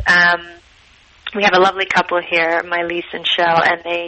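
At a moderate pace and with monotone, flat intonation, a woman with an American accent talks over noticeable background noise. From Utah. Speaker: cookbook author. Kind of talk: interview.

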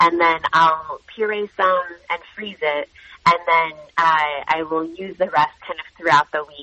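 This woman has an ordinary speaking voice with an American accent and fairly low pitch. She speaks at a fairly slow pace with fairly even intonation. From US Midwest. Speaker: cookbook author and chef. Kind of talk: radio interview.

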